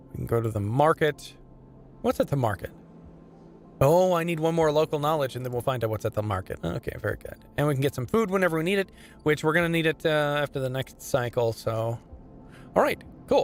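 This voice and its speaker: Over music in the background, a man talks at a very fast pace with fairly high pitch and lively intonation. His pauses are long and frequent. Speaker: voice actor. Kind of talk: gameplay commentary with game text read aloud. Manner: casual, conversational, thinking aloud.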